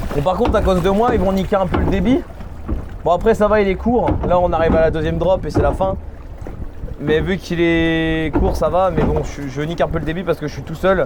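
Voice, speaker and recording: A man with a high pitch speaks at a fairly quick pace, his pitch rising and falling in an ordinary way. Audible room echo and noticeable background noise surround his voice. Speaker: theme park vlogger. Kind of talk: casual vlog commentary. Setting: outdoors at theme park. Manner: fast.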